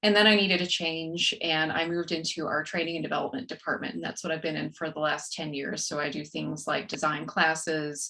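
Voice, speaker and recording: A woman with an American accent speaks in a very deep, low voice with ordinary pitch variation, barely pausing over noticeable background noise. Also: fairly quick pace. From West Texas, rural. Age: 40s. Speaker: author and corporate trainer. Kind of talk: podcast interview.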